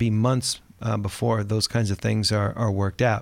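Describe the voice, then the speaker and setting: At a moderate pace, the voice stays monotone and flat on a very clean recording with a silent background. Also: man. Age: 60s. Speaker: podcast host, financial advisor. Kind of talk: scripted monologue; casual chat. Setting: studio.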